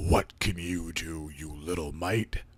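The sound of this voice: Growling put-on character voice from a man, very deep and low in pitch, at a fairly slow pace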